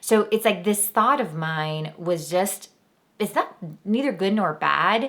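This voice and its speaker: A woman with an American accent speaks in an animated tone with ordinary pitch variation. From Miami, Florida. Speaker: spiritual podcast host. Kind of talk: casual podcast monologue. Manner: animated, conversational.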